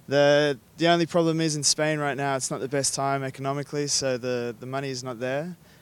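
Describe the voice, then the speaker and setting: A fairly high-pitched man's voice with an Australian accent and flat, monotone intonation. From Australia (Sydney). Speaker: rugby sevens player. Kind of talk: casual interview.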